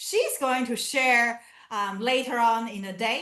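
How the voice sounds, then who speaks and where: A woman with a non-native accent speaks in a high pitch with a bright, sharp tone. She talks at a fairly slow pace. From southern China (Canton). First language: Chinese. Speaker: academic researcher. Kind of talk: lecture. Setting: video call. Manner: halting.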